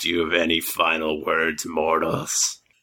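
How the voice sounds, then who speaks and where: In a put-on character voice, a man speaks at a moderate pace, raspy and with a very deep, low pitch. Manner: menacing.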